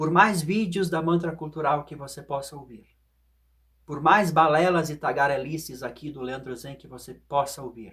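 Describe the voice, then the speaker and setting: This man talks fairly slowly. His voice sits fairly high. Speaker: philosophy and meditation video host. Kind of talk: reflective monologue.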